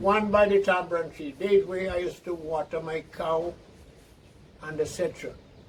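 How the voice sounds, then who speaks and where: A man's high-pitched voice at a moderate pace amid noticeable background noise. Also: fairly even intonation. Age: 80s+. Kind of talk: interview answer.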